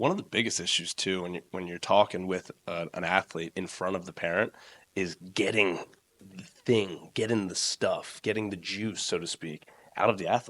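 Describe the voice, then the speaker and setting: Here a man speaks at a very deep, low pitch and a moderate pace. His loudness swings widely. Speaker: strength coach and gym owner. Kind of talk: casual podcast interview. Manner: loud, excitable.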